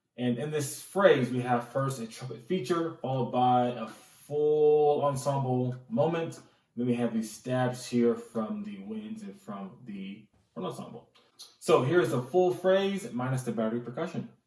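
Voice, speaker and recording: At a moderate pace and medium pitch, a man talks with big swings in loudness, and room echo is audible. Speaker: band director and music arranger. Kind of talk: tutorial. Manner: occasional stammering.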